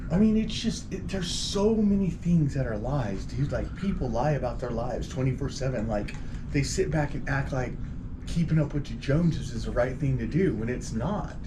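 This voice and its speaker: Audible room echo and noticeable background noise surround the speech. The speaker, a man, keeps a moderate pace. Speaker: podcast co-host. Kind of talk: casual chat. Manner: loud.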